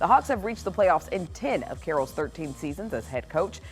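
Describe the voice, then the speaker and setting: Music plays in the background as the speaker goes at a fairly quick pace. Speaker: TV news anchor. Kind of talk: TV news broadcast.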